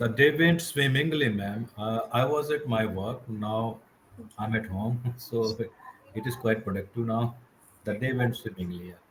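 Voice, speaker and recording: At a moderate pace, a man with an Indian accent speaks at medium pitch with ordinary pitch variation. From India, Madhya Pradesh. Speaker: English learner. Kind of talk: casual chat. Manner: halting.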